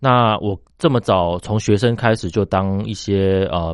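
Against a quiet background, a man speaks in a very deep, low voice with ordinary pitch variation. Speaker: company founder and general manager. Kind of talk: radio interview. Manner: halting, many filler sounds.

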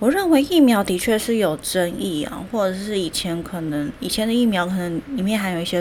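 Noticeable background noise is present. Through it, a woman talks at a moderate pace. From Taiwan. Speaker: podcast host, nutrition educator. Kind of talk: solo educational talk. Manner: hesitant with many fillers.

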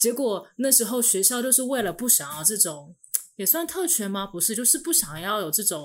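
This woman's pitch is fairly high and swings very widely. She talks at a moderate pace. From Taiwan. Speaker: former international school student. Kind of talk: casual chat.

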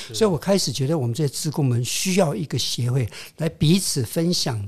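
Lively intonation runs through this somewhat breathy voice. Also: man. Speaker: retired tech executive and writer. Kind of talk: interview. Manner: halting.

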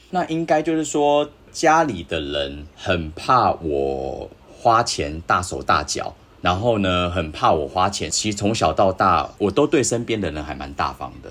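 A man's very deep, low voice with very wide pitch swings, a moderate pace, and noticeable background noise. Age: 40s. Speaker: astrology podcast guest. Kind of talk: casual chat.

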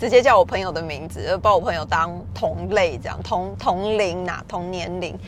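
A woman with an animated tone at a moderate pace. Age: 40s. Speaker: podcaster. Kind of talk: casual solo monologue.

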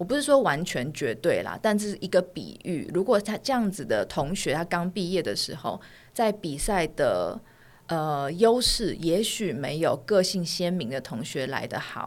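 On a very clean recording with a silent background, a medium-pitched woman talks at a fairly slow pace with very wide pitch swings. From Taiwan. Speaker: fashion designer and author. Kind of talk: casual interview. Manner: soft-spoken.

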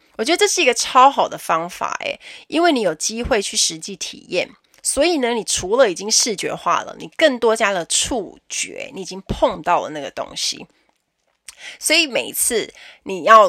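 A woman's animated, bright, sharp tone with very wide pitch swings. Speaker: podcast host, flight attendant. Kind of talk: casual solo podcast talk.

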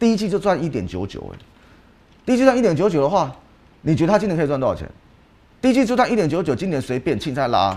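Speaking at a very fast pace with long, frequent pauses, a man uses a high pitch and very wide pitch swings. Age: 40s. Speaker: stock market analyst. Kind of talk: casual chat. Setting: studio. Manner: animated.

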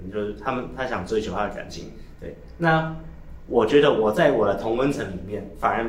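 A man's fairly quick, lively speech against noticeable background noise. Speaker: podcast co-host. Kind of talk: casual chat.

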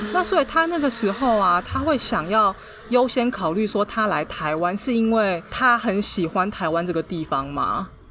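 A woman speaks with a fairly high pitch and very wide pitch swings. Noticeable background noise is present. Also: moderate pace. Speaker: podcast co-host. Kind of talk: casual chat.

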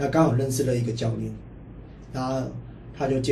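Over audible room echo, a man talks at a very fast pace. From Hong Kong. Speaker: university football player. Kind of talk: casual interview. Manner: halting, many repeated words.

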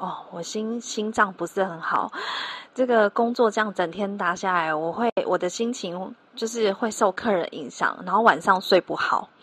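Moderate-paced female speech at a medium pitch, with ordinary pitch variation. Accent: Taiwanese. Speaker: telemarketing trainer and podcast host. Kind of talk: solo podcast tutorial.

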